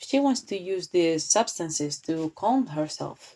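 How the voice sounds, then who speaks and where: With a non-native accent, a woman of fairly low pitch speaks at a very slow pace. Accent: non-native English speaker. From Spain. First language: Spanish. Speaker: tarot reader and commentary youtuber. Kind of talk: tarot reading commentary. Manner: halting, with false starts.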